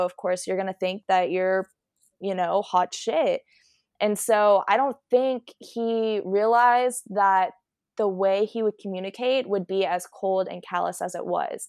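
Over a quiet background, a woman at a medium pitch talks at a moderate pace in a normal speaking voice. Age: 20s. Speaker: student, podcast guest. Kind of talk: casual interview about personal relationships. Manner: filler-heavy, um and you know.

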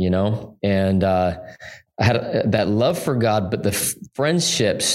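In an American accent, a man uses a normal speaking voice with a fairly low pitch and ordinary pitch variation. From Utah. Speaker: pastor. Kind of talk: interview.

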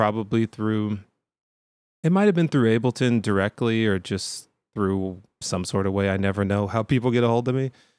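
A man with an unremarkable speaking voice, medium pitch, ordinary pitch variation and moderate pace, on a very clean recording with a silent background. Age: 40s. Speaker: music producer and software trainer. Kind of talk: casual chat.

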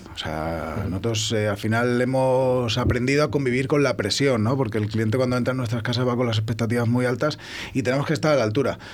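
A man's medium-pitched voice at a very fast pace with hardly any pauses, ordinary pitch variation and very even loudness, with audible room echo and noticeable background noise. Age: 30s. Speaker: restaurant chef. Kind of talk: casual chat.

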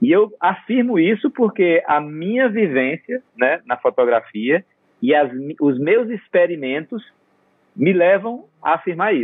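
Pitched high, a man speaks at a fairly slow pace with very wide pitch swings. His loudness stays very even throughout. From Brazil. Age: 50s. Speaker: photographer. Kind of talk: interview conversation.

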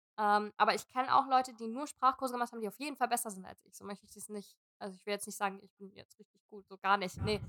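Delivered at a very fast pace with hardly any pauses, this bright, sharp voice has ordinary pitch variation, big swings in loudness and a dry, close sound with no echo. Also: woman, fairly high pitch for a woman. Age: 20s. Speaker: dancer. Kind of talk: casual chat.

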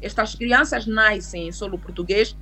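Noticeable background noise under a woman's moderately paced speech. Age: 30s. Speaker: lawyer. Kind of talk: interview on immigration law.

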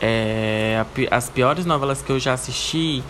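Noticeable background noise behind a man speaking at a fairly slow pace with ordinary pitch variation. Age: 20s. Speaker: podcast host. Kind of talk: casual solo Q&A monologue.

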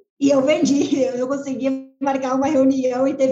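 Delivered in a monotone, flat intonation, the voice has a dark, mellow tone. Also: woman. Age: 30s. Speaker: sales team leader. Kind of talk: podcast interview.

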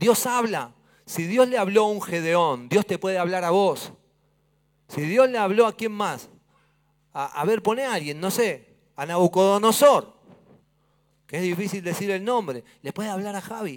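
Speaking with an Argentine accent, a high-pitched man talks at a fairly slow pace with lively intonation and long, frequent pauses, in a very clean recording with a silent background. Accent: Argentine Spanish (Rioplatense). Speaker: pastor. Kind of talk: sermon. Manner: animated.

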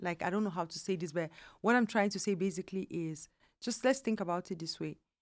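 A woman with a Nigerian accent speaks at a fairly quick pace with medium pitch and ordinary pitch variation, on a very clean recording with a silent background. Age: 40s. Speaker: immigrant mother. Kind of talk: casual interview chat.

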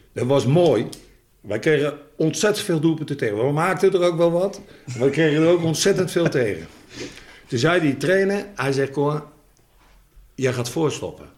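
At a moderate pace with long, frequent pauses, a man speaks at a fairly high pitch with ordinary pitch variation. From Netherlands, Rotterdam. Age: 60s. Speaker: former footballer and coach. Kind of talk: casual chat.

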